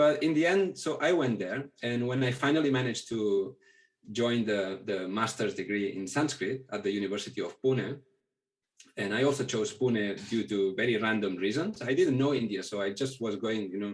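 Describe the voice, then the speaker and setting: At a moderate pace, a man speaks with a Catalan accent. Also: medium pitch for a man, ordinary pitch variation. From Catalonia, Spain (near Barcelona). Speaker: Pali scholar. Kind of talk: interview. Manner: halting.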